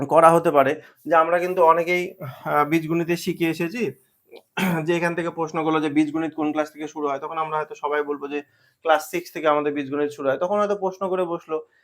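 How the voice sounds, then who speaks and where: A man speaks in a fairly high voice with monotone, flat intonation. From West Bengal, India. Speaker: exam prep tutor. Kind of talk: tutorial. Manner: halting, many pauses and fillers.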